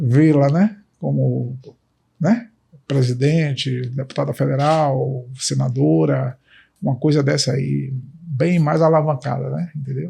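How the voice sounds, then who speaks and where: This man talks at a very slow pace. His speech is broken up by long, frequent pauses. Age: 60s. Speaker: candidate's father. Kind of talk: interview testimonial. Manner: halting, many fillers.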